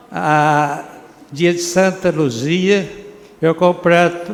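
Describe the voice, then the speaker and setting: Room echo is audible as a man speaks very slowly. His pitch is high. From Brazil, Minas Gerais (Prata). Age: 80s+. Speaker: retired doctor honored at civic ceremony. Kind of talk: acceptance speech. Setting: council chamber ceremony. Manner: halting.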